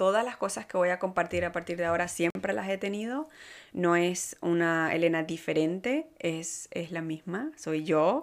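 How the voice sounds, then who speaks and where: At a moderate pace, a woman talks at a fairly low pitch with ordinary pitch variation in a very clean recording with a silent background. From Venezuela. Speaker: podcast host and life coach. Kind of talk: casual monologue. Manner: halting, many fillers and repetitions.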